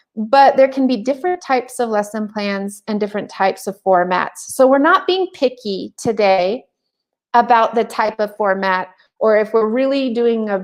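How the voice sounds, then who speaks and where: Over a quiet background, a woman with a plain, everyday voice talks in a fairly high pitch with ordinary pitch variation. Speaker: teacher trainer. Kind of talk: webinar presentation. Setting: online webinar.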